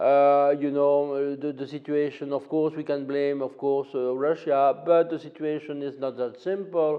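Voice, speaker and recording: Speaking with a French accent, a man keeps a moderate pace. His pitch is fairly high. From France. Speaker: political analyst. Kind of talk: interview. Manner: halting, many fillers.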